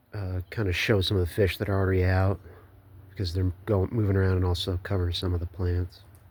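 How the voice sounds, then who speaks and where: His very deep, low voice is somewhat breathy and monotone, with flat intonation, as the man speaks at a very fast pace. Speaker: hobbyist fish keeper. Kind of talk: casual talk to camera. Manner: hesitant, filler-heavy.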